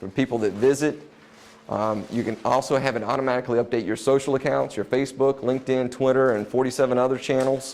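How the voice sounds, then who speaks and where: A man talks at a very fast pace in a medium pitch. His intonation is flat and monotone. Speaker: marketing presenter. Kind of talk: business presentation. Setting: room with live audience.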